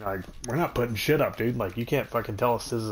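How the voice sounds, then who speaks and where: A man is speaking. Music plays in the background. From New Mexico, small oil-field town. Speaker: gaming streamer. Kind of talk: casual chat. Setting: live stream. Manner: animated.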